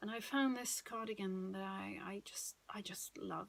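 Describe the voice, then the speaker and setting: At medium pitch, a woman speaks in a Swedish accent. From Sweden. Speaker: knitting podcaster. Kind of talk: casual monologue. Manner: hesitant, many fillers.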